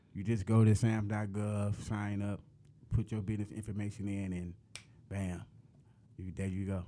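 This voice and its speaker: The voice has a dark, mellow tone and flat, monotone intonation, moving at a moderate pace broken by long, frequent pauses. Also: man, fairly low pitch for a man. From west side of Detroit. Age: 30s. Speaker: entrepreneur, real estate investor. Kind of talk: interview.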